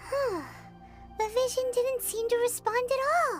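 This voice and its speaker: Over clear music in the background, a put-on character voice with an extremely high pitch moves at a fairly slow pace. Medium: machinima. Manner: bright, excitable.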